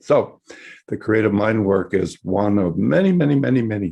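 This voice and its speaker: This man has a dark, mellow tone and an American accent. He talks at a fairly slow pace. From US West Coast, San Francisco. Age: 60s. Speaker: psychologist and workshop teacher. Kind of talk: webinar lecture. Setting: online webinar. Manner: hesitant, many fillers and repetitions.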